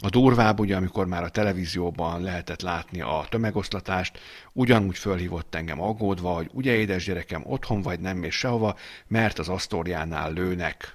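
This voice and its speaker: A man's very deep, low voice at a fairly quick pace, with ordinary pitch variation, on a very clean recording with a silent background. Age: 40s. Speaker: political podcast co-host. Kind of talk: casual political chat.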